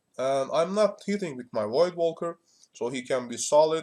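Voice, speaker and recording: Speaking with a Turkish accent, a man keeps a moderate pace and ordinary pitch variation. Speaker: gaming streamer. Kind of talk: gameplay commentary. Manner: halting, many fillers.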